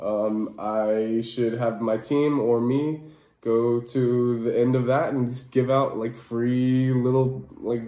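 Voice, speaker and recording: A man's medium-pitched, monotone, flat delivery with audible room echo. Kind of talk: casual monologue. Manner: casual, many fillers.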